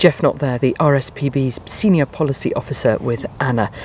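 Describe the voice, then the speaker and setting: A quiet woman's voice, very deep and low in pitch, over noticeable background noise. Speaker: radio presenter. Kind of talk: radio presenting. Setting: outdoors on a farm shoot. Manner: speaking quietly.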